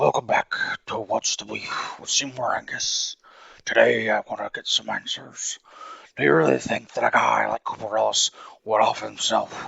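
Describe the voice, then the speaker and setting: This put-on character voice moves along at a moderate pace. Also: man. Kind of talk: TV talk show host.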